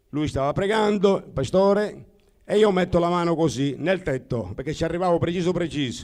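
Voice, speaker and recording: Here a man speaks at a moderate pace with a high pitch and ordinary pitch variation. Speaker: church member sharing trip report. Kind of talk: testimony.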